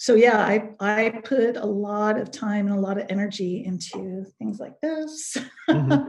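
Slightly breathy and medium-pitched, a woman speaks at a fairly slow pace with lively intonation. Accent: American. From US West Coast (Pleasanton, California). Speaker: punk singer and writer. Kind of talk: interview.

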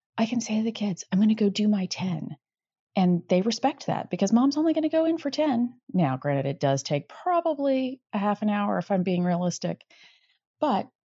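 Somewhat breathy, a woman at a medium pitch speaks with very wide pitch swings. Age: 40s. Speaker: listener leaving a voice message. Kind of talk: voicemail.

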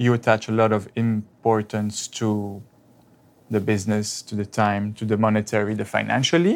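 The speaker is a man with a French accent. He keeps a moderate pace and a monotone, flat intonation. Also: fairly low pitch for a man. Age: 20s. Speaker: real estate agent. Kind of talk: counseling session.

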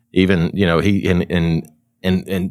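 The speaker talks with a Kentucky accent. The recording is very clean, with a silent background. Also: man. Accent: Kentucky Southern US. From Kentucky, US South. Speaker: online advertising agency owner, podcast host. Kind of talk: casual chat. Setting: trade show.

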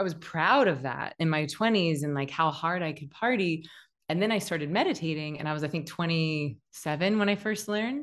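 A woman speaks fairly quickly in a normal speaking voice. Her pitch is fairly low, with ordinary variation. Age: 40s. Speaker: meditation teacher and author. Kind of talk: casual interview chat.

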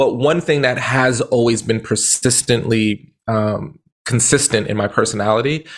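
A plain, everyday voice speaks with ordinary pitch variation. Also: man. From Brooklyn, New York. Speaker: motivational speaker and author. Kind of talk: interview conversation.

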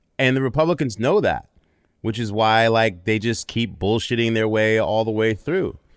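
In a very clean recording with a silent background, a man with an unremarkable speaking voice and medium pitch speaks at a moderate pace with ordinary pitch variation. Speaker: sportscaster and producer. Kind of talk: casual chat.

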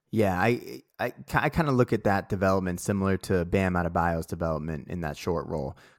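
A man's very deep, low voice in a Boston accent, fairly quick, dry and close with no echo, on a very clean recording with a silent background. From Boston (Dorchester). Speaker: basketball podcast co-host and musician. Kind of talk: casual chat.

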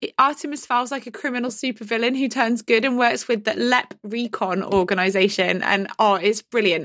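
A woman with an English accent speaks at a moderate pace with hardly any pauses, her fairly high pitch showing ordinary variation. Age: 40s. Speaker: dyslexia consultant. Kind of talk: casual chat. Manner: animated.

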